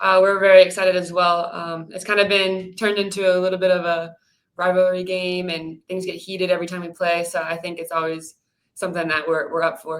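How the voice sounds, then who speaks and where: A woman talks at a fairly quick pace in a medium pitch. Her intonation is monotone and flat, with big swings in loudness. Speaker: professional soccer center defender. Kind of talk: interview. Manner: quiet.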